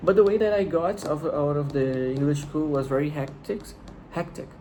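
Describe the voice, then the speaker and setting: A man with a Brazilian accent speaks at a moderate pace and ordinary pitch variation, with audible room echo. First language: Portuguese. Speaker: vlogger. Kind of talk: casual monologue. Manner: halting, with repetitions.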